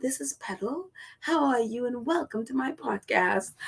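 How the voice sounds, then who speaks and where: A female-sounding voice performs a put-on character at a high pitch. The pace is moderate. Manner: smooth, warm, welcoming.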